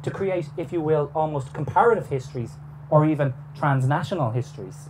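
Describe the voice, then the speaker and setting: The speaker has an Irish accent and a fairly quick pace. Audible room echo and noticeable background noise are present. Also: man, fairly high pitch for a man, ordinary pitch variation. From Ireland. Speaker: historian. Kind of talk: lecture. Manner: formal.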